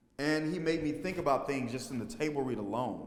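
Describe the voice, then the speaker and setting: With an American accent, a man speaks amid audible room echo. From Texas, Fort Worth. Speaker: stage actor and filmmaker. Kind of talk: interview.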